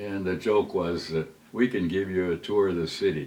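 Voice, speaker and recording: This man has a very deep, low pitch and ordinary pitch variation. His pace is moderate. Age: 90s. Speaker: retired serviceman. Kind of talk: personal reminiscence. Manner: halting, with fillers.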